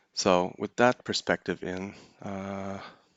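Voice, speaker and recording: The man speaks with a monotone, flat intonation. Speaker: crypto market analyst. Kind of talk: live tutorial. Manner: halting.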